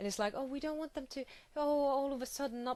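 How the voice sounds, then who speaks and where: With a non-native accent, a woman is talking. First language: not English. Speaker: video blogger. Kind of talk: angry rant. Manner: hesitant, many fillers.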